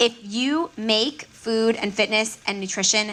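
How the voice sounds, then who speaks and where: A woman's fairly high-pitched voice, an ordinary speaking voice, with an American accent and a fairly slow pace. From Miami, Florida. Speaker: registered dietitian. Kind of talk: conference talk.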